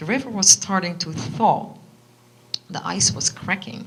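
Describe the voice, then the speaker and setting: Over noticeable background noise, a woman with a Dutch accent speaks at medium pitch and a fairly slow pace, with big swings in loudness. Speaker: author. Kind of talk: reading aloud; casual chat. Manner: halting.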